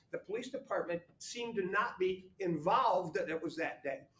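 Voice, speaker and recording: Loud and lively in intonation, a man talks at a fairly quick pace. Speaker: village board member. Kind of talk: heated debate.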